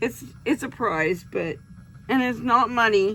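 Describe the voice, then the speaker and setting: Speaking very slowly, a woman with fairly high pitch and vocal fry uses lively intonation. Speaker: crafting youtuber. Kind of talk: casual tutorial vlog. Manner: chatty.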